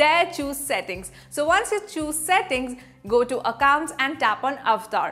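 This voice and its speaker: A woman speaks at a fairly slow pace in a high voice. Faint music plays in the background. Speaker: presenter. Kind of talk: tutorial. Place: studio. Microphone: lapel.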